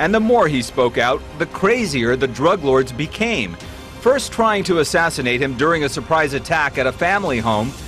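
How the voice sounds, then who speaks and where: A man's fairly high voice at a moderate pace, with very wide pitch swings, very even loudness and music in the background. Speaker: TV news reporter. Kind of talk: TV news report narration.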